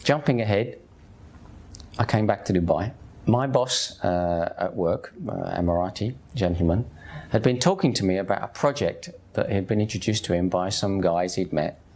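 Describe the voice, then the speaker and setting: Lively intonation from a man with a Cockney accent, fairly low pitch and moderate pace. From East London, England. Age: 50s. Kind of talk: personal testimony. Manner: conversational.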